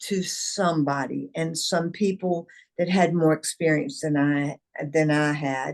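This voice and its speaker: At a very slow pace, a woman talks in a Southern US accent. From US South, eastern North Carolina. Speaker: company founder and CEO. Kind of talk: interview.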